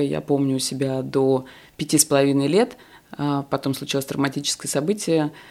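On a very clean recording with a silent background, a woman speaks at a very deep, low pitch and moderate pace with fairly even intonation. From Moscow, Russia. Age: 40s. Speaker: sex educator and blogger. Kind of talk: casual chat.

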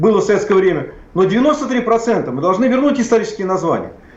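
Against noticeable background noise and audible room echo, a man at high pitch talks at a moderate pace with lively intonation. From Plyos, central Russia. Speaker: historian and public official. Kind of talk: heated debate. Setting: remote connection. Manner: animated.

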